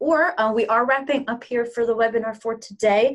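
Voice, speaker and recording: Her intonation fairly even, a woman uses a normal speaking voice pitched fairly high. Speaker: webinar moderator. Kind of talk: webinar Q&A moderation. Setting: online webinar.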